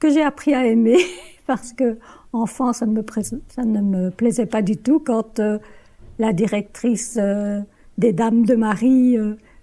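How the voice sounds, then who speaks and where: Speaking very slowly with long, frequent pauses, a woman uses a fairly high pitch. Her tone is dark, mellow and somewhat breathy. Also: ordinary pitch variation. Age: 70s. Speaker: retiree interviewed for a student film. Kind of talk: personal testimony interview.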